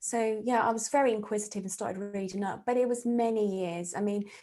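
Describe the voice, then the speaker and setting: Speaking in a southern English accent, a woman has a fairly high pitch and a dark, mellow tone. Her intonation is fairly even at a moderate pace, on a very clean recording with a silent background. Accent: English (southern England). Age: 50s. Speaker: psychic medium and therapist. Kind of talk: interview conversation.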